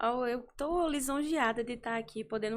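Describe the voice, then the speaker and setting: A woman with an ordinary speaking voice, at a fairly slow pace with ordinary pitch variation, on a very clean recording with a silent background. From Campina Grande, Paraíba, Brazil. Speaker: physician, gynecologist. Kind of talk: podcast interview.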